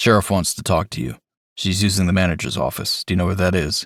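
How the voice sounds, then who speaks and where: A man's put-on character voice, raspy and very deep, delivered at a very fast pace. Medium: read story. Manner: terse, matter-of-fact.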